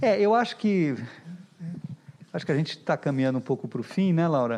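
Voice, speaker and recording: A man with a fairly high pitch, very wide pitch swings, moderate pace. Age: 60s. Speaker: visual artist. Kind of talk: panel discussion.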